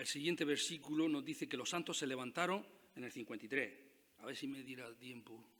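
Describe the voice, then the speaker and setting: A man at a moderate pace, bright and sharp in tone, with very wide pitch swings. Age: 60s. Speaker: pastor. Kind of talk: sermon.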